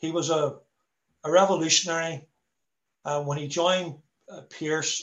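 In a Belfast accent, a man speaks at a moderate pace in a somewhat breathy voice with fairly even intonation. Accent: Belfast Northern Irish. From Belfast, Northern Ireland. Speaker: former republican prisoner and visitor centre worker. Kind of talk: talk to online meeting. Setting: video call. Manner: repetitive, halting.

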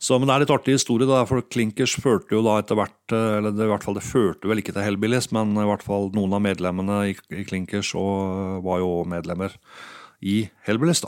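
Here a man uses an ordinary speaking voice, fairly low in pitch with ordinary pitch variation and a fairly quick pace. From Norway, Hallingdal (Geilo). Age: 50s. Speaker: music producer and DJ. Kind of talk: interview. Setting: home studio living room.

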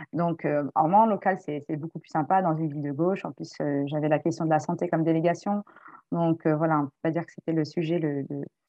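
Over music in the background, a woman talks at a fairly quick pace with a fairly low pitch. Her intonation is fairly even, but her loudness swings widely. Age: 40s. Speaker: human rights activist. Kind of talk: casual discussion.

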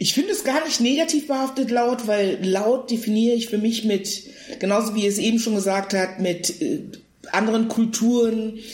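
With noticeable background noise behind her, a woman talks at a moderate pace in a fairly high pitch with ordinary pitch variation. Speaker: actress and comedian. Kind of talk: casual chat. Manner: loud.

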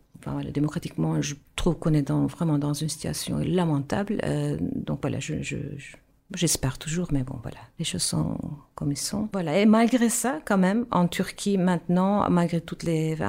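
A woman with a Turkish accent at a moderate pace, with hardly any pauses. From Turkey, Istanbul. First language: Turkish (speaking French). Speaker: musician and actress. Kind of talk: radio interview. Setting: radio studio. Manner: halting.

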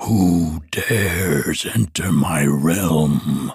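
A man's booming, raspy put-on character voice, very deep and low in pitch. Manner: imposing, commanding.

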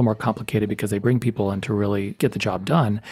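On a very clean recording with a silent background, a man with an American accent sounds somewhat breathy, dry and close with no echo. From Texas, El Paso. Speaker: university department chair. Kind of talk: interview conversation.

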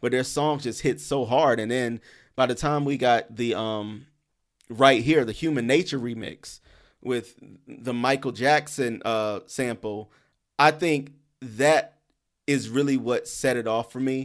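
At a fairly slow pace, a man talks with ordinary pitch variation. His is an ordinary speaking voice, medium in pitch. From Columbia, South Carolina. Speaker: blogger and co-host. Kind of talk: casual chat.

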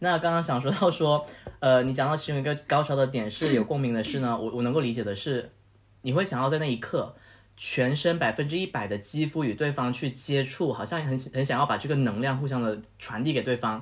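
Somewhat breathy and fairly high-pitched, a man speaks at a fairly quick pace with ordinary pitch variation on a very clean recording with a silent background. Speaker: guest host, friend of the host. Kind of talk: casual chat. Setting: home apartment studio, face to face.

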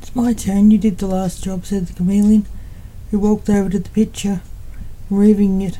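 A woman with a medium-pitched, somewhat breathy voice and a dark, mellow tone talks at a fairly quick pace in monotone, flat intonation, broken by long, frequent pauses. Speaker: poet and author reading her own story. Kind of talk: literary audiobook reading, scripted narration of a thriller with dialogue. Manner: even, measured storyteller's pace, narrating plainly with light character dialogue.

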